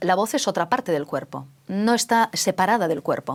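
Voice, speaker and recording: A woman's medium-pitched voice with lively intonation comes through a very clean recording against a silent background. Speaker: radio host. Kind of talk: interview. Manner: fast.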